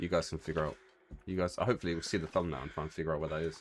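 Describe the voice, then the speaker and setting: A man with vocal fry talks in a very deep, low pitch with ordinary pitch variation. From UK. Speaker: gaming YouTuber. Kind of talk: let's play commentary. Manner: casual, chatty.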